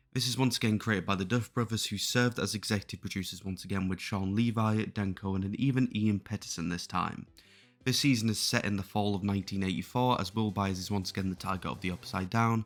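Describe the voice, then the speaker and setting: A man speaks at a very fast pace in a fairly low pitch with fairly even intonation, music playing in the background. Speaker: film and TV reviewer. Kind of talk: video essay narration. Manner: stuttering in this recording.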